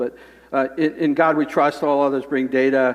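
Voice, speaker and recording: A man speaks at a very fast pace, with noticeable background noise. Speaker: conference speaker. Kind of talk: conference talk.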